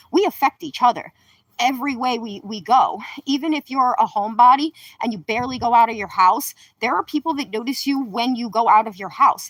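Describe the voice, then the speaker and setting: At a fairly quick pace, a woman with a high pitch speaks in an animated tone with lively intonation and big swings in loudness, the sound dry and close with no echo. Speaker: livestreamer. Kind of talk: livestream monologue. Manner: fast.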